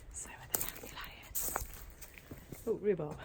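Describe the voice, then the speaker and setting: A quiet woman with a British accent at a moderate pace, over noticeable background noise. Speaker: crochet vlogger. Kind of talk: casual vlog walkthrough. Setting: outdoors in garden. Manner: talking quietly.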